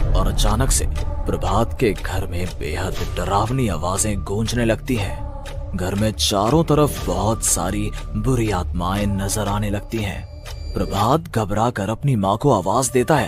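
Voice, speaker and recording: Over loud music in the background, a man does a cartoonish character voice at a fairly low pitch and a fairly slow pace. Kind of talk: horror narration. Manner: dramatic, suspenseful.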